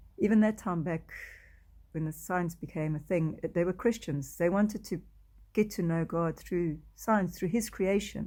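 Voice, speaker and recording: A woman with a South African accent, fairly low pitch, a dark, mellow tone and ordinary pitch variation, on a very clean recording, silent background. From South Africa, Afrikaans-speaking. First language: Afrikaans. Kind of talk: testimony. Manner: halting.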